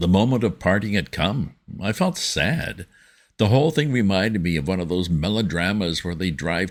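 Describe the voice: Lively intonation in plain reading aloud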